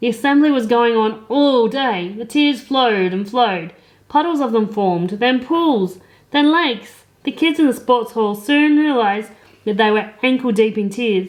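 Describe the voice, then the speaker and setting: A woman at a fairly high pitch, moderate pace and ordinary pitch variation, against a quiet background. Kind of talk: children's comic storytelling. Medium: read story. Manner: cheeky, sarcastic.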